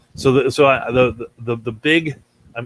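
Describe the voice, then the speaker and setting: A man's intonation stays fairly even. The sound is dry and close with no echo. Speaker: fantasy sports podcast host. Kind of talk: solo podcast analysis. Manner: fast; halting, repeated words.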